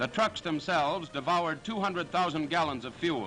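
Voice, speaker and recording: There is music in the background. A man with a high pitch talks with ordinary pitch variation. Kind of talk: World War II newsreel narration. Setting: vintage newsreel recording. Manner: authoritative, brisk.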